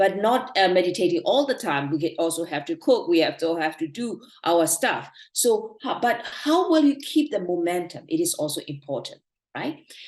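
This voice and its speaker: Speaking in a Burmese accent at a moderate pace, a woman with a medium pitch swings very widely in pitch. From Myanmar. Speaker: meditation teacher. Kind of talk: online talk / lecture.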